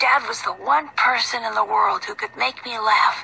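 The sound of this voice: The clip features an unforced reading voice.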